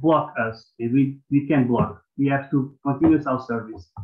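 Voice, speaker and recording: With a Portuguese accent, a man speaks at a fairly slow pace. His pitch is fairly high and his intonation fairly even. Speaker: mobile librarian. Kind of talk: conference presentation. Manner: halting.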